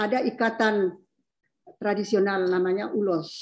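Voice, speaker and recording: This woman has a normal speaking voice at a fairly high pitch. Her pace is fairly slow. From North Sumatra, Mandailing area; North Sumatra, Indonesia. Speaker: academic panelist; panelist. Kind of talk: panel discussion. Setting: video call. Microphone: video call.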